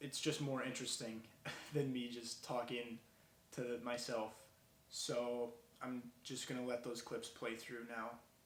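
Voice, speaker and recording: Speaking in an American accent at a fairly slow pace, the voice stays monotone and flat, with long, frequent pauses, audible room echo, and noticeable background noise. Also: man, medium pitch for a man. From Minnesota (Bemidji). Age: 20s. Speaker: college student, video maker. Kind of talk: vlog monologue and street interviews. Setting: outdoors in a city. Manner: casual, unscripted.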